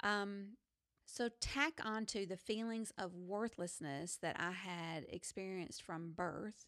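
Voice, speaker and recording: Very slow speech carries ordinary pitch variation. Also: woman, medium pitch for a woman. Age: 50s. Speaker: podcast host. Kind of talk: testimony.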